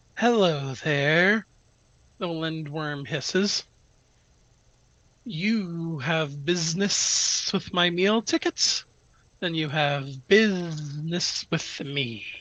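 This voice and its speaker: In a put-on character voice at a middle pitch, the speaker goes at a very slow pace with long, frequent pauses, and hissing can be heard. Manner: menacing, threatening.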